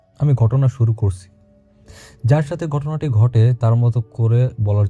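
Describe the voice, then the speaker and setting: Music behind a man's medium-pitched voice with ordinary pitch variation. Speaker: radio host reading a listener's letter. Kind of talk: horror story narration.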